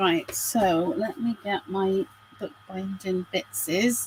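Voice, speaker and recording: Against noticeable background noise, a woman talks in a quiet voice. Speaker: crafter. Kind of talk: craft tutorial livestream. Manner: chatty, animated.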